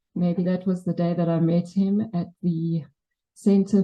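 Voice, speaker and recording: A woman with a South African accent speaks at a fairly low pitch. Her delivery is flat and monotone, and somewhat breathy. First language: Afrikaans. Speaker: memorial speaker. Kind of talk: eulogy. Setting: memorial service with audience. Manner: wobbling voice.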